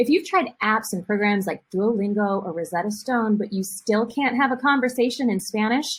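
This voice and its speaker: A woman with a Midwestern US accent speaks at a fairly high pitch, somewhat breathy, with ordinary pitch variation. Her pace is moderate, with hardly any pauses. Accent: Midwest American English. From US Midwest, rural Ohio. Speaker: Spanish teacher and language school founder. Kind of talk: promotional presentation.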